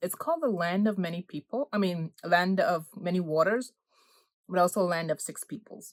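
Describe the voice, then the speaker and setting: In a Guyanese accent, a woman speaks at a moderate pace with long, frequent pauses. Her medium-pitched voice shows ordinary pitch variation, with a dry, close sound and no echo. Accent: Guyanese Caribbean. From Guyana. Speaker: food vlogger. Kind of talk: casual vlog chat. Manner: casual, self-correcting; eating while talking.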